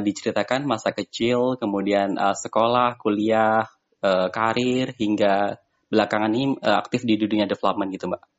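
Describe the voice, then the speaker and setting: A man speaks in an ordinary speaking voice. His pitch is medium, with ordinary variation. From Magetan, East Java, Indonesia. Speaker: podcast host. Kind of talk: casual interview.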